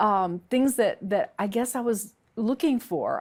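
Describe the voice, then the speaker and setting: A woman with a Southern US accent speaks with ordinary pitch variation on a very clean recording with a silent background. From US South, Alabama. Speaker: convert sharing personal story. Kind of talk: testimony. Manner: halting, many fillers.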